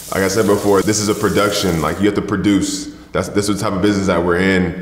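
Audible room echo surrounds a man speaking at a very fast pace with fairly even intonation. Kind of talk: interview answer. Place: home room.

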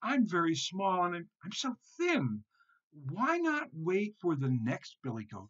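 The speaker does a put-on character voice with a fairly bright tone and very wide pitch swings at a fairly slow pace. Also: man, high pitch for a man.

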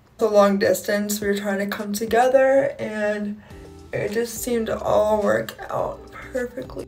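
A woman speaks at a fairly slow pace with faint music in the background. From Ohio, USA. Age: 20s. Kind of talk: casual talk to camera. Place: home room. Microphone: phone near.

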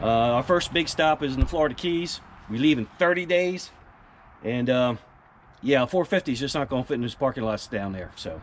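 Over light background noise, a man speaks at a moderate pace. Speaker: RV vlogger. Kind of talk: casual vlog chat. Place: street. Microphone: phone near.

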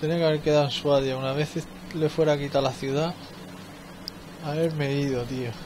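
Against noticeable background noise, a man with a Spanish accent and a fairly high pitch speaks at a fairly quick pace in a flat monotone, with long, frequent pauses. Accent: Peninsular Spanish. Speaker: gaming video creator. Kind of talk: let's play commentary. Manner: casual, thinking aloud.

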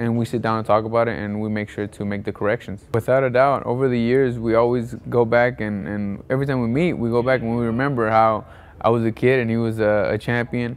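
His pace is fairly quick. A man speaks with fairly even intonation. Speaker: interviewee. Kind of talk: interview answer. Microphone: lapel.

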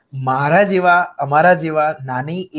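This man has a plain, everyday voice with a fairly high pitch. His intonation stays fairly even. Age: young. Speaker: show host; talk show host. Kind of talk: casual interview. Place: home room. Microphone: video call.

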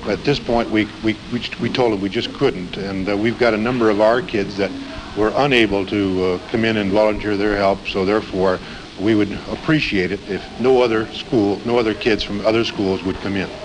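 Noticeable background noise sits behind this man's voice. He speaks with a fairly low pitch and fairly even intonation. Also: moderate pace. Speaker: school principal. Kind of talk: on-scene interview answers. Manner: hesitant, fillers, earnest.

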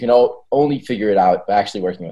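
The background stays quiet. A man's dark, mellow tone shows ordinary pitch variation. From Israel. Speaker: tech startup founder. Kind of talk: interview conversation. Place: home room. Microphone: video call.

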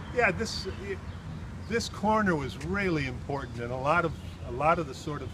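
A man with an American accent and a warm tone speaks with very wide pitch swings. Noticeable background noise is present. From Chicago, Humboldt Park. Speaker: poet recounting his immigrant childhood. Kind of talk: elder life story, walking-tour reminiscence of the old neighborhood. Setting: outdoors, on a street corner. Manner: halting, full of uh's and restarts as memories surface; warm, wistful storytelling, pointing out landmarks. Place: street. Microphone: phone near.

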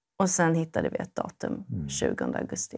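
Against a quiet background, a woman speaks fairly slowly. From Sweden. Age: 30s. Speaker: primary school teacher. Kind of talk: testimony. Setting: studio. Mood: calm, personal, reflective. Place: studio. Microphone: lapel.

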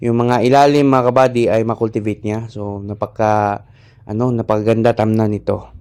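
In a dark, mellow tone, a man talks at a moderate pace with a medium pitch and a monotone, flat intonation. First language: Cebuano (Bisaya) (speaking Tagalog). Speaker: rice farmer and farming vlogger. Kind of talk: farming tutorial vlog. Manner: halting with many fillers.

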